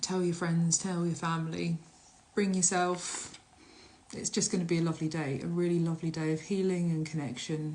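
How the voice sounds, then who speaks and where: Somewhat breathy and fairly low in pitch, a woman speaks with a southern English accent, fairly even intonation and a moderate pace. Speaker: shaman and workshop leader. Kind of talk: casual live stream. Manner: halting, with filler words.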